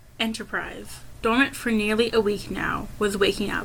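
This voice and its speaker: A woman's voice amid noticeable background noise. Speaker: amateur audiobook narrator. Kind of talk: audiobook reading. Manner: stuttering, occasional disfluent restarts.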